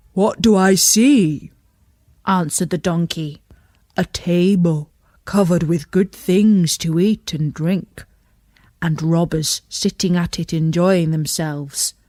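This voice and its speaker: In a put-on character voice, a female-sounding speaker uses a middle pitch and a fairly slow pace. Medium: read story. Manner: hearty, encouraging.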